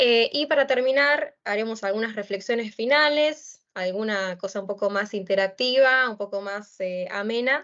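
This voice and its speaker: Speaking with an Argentine accent, a woman keeps a moderate pace with hardly any pauses, using a fairly high pitch with ordinary pitch variation. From Argentina. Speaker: lecturer, doctoral researcher. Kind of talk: lecture. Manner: hesitant, many fillers.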